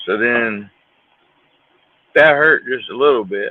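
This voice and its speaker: This man speaks at a very slow pace. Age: 40s. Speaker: fishing livestreamer. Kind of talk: casual chat.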